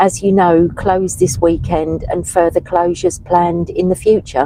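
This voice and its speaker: A woman's fairly low voice, with fairly even intonation at a moderate pace. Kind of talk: casual live-stream chat, reading viewer comments. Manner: hesitant, many fillers.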